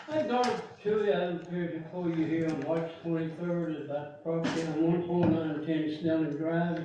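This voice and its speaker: A man with a Texan accent talks at a moderate pace. Noticeable background noise and audible room echo fill the recording. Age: 80s+. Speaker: resident speaking at public meeting. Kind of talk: public comment. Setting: board meeting. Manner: halting.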